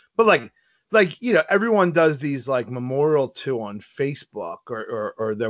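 With an American accent, a man uses an ordinary speaking voice at a medium pitch and a moderate pace against a quiet background. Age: 30s. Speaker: podcast co-host. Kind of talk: casual chat.

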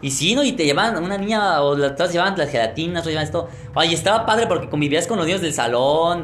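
Amid noticeable background noise and audible room echo, a man with a Mexican accent rushes at a very fast pace with hardly any pauses, a high pitch and lively intonation. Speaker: podcast host. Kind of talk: casual chat.

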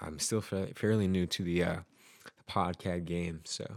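A man with an American accent and a very deep, low pitch, at a fairly slow pace, with ordinary pitch variation. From Utah. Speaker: podcaster. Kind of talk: solo audio journal monologue. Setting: at home at the piano. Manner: casual, halting with many fillers.

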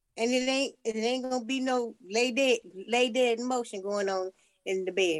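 At a moderate pace, a woman with a fairly high pitch and an unremarkable speaking voice talks with lively intonation. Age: 60s. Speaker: podcast co-host. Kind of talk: casual chat.

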